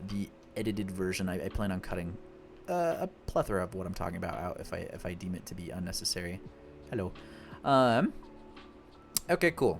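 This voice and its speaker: Fairly quick talk from a man over background music. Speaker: gaming content creator. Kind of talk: gameplay commentary. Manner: fast; casual, thinking aloud with filler words.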